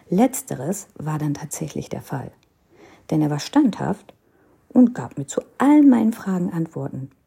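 Speaking fairly slowly at a fairly low pitch, a woman uses very wide pitch swings and big swings in loudness, with long, frequent pauses. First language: Hindi (speaking German). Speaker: podcaster. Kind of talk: personal storytelling.

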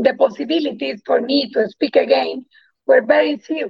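A woman with a Spanish accent at a moderate pace. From Colombia. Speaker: integrative oncologist. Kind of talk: interview.

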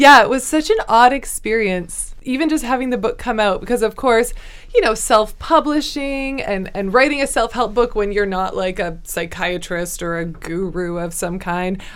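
A woman with a normal speaking voice, lively intonation and hardly any pauses. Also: fairly high pitch for a woman, moderate pace. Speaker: author. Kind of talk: casual interview chat.

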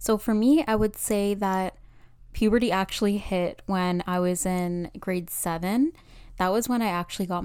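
A woman with a normal speaking voice and medium pitch talks at a moderate pace with fairly even intonation. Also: very clean recording, silent background. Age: 20s. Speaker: podcast host. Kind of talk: personal monologue.

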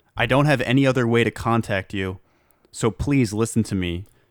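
A man with an ordinary speaking voice keeps a moderate pace and ordinary pitch variation, recorded very cleanly against a silent background. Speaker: podcast host. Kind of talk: casual comedic chat.

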